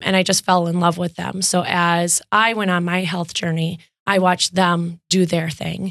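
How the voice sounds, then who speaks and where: In a Wisconsin accent, a woman speaks at a moderate pace with a fairly low pitch and flat, monotone intonation. The recording is very clean, with a silent background. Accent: Upper Midwest (Wisconsin). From Wisconsin, West Bend. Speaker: fitness studio owner. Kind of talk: interview.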